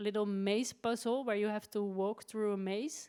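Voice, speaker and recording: Recorded very cleanly against a silent background, a woman speaks at a fairly high pitch with fairly even intonation. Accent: Dutch. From Netherlands. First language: Dutch. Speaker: writer. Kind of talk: interview. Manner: halting.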